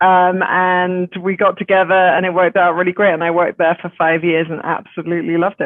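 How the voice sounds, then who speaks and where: A woman's medium-pitched voice, monotone and flat in intonation, with hardly any pauses. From England. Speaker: zero waste grocery co-founder. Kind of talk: podcast interview.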